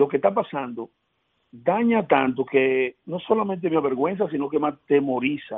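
A man with an unremarkable speaking voice uses lively intonation and a fairly high pitch at a moderate pace. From Dominican Republic, Elías Piña. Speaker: senator. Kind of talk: radio interview.

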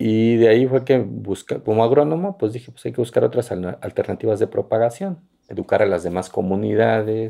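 Speaking at a fairly quick pace, a man with a medium-pitched, dark, mellow voice shows ordinary pitch variation. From Santa Catarina Minas, Oaxaca, Mexico. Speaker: mezcal producer and agronomist. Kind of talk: interview. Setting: his village in Oaxaca.

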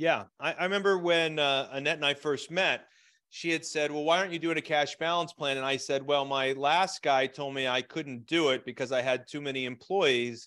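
A man with an American accent uses a normal speaking voice, fairly high in pitch with fairly even intonation, at a moderate pace over a quiet background. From Pennsylvania, Scranton. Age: 50s. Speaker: small business coach. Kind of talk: webinar interview. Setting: video call.

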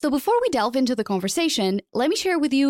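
A woman with a Portuguese accent talks at a very fast pace in a dry, close sound with no echo. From Portugal. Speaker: podcast host. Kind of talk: casual interview. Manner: fast talker.

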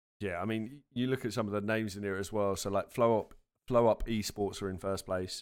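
On a very clean recording with a silent background, a man with an unremarkable speaking voice talks at a fairly quick pace, fairly low in pitch and fairly even in intonation. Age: 30s. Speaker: esports organisation podcast host. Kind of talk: casual chat.

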